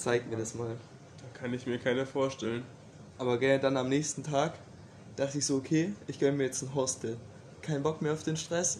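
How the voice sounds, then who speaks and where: A man speaks at a medium pitch with fairly even intonation. He leaves long, frequent pauses. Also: moderate pace. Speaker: podcast host. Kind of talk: casual chat.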